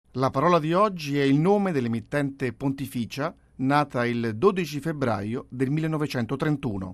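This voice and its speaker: This man has a plain, everyday voice with a fairly high pitch. He talks at a fairly slow pace with lively intonation. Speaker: podcast host. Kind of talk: scripted narration introducing archive clips. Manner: formal.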